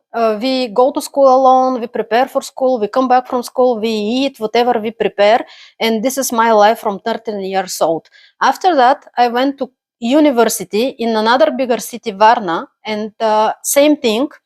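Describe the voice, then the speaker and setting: A woman speaks with a Bulgarian accent. The recording is very clean and dry, close-miked with no echo against a silent background. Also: fairly high pitch for a woman, ordinary pitch variation, moderate pace. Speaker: immigrant, accountant. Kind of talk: personal story monologue. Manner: halting, many fillers.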